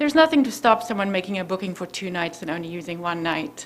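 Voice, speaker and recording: The speaker has a South African accent, with noticeable background noise behind the voice. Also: woman. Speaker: resident speaking at public hearing. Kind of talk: public comment at zoning hearing.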